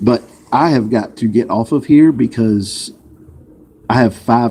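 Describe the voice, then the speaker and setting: A man speaks with a Southern US accent at a medium pitch. His tone is dark and mellow. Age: 40s. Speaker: vlogger. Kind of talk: casual chat. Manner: casual, hesitant.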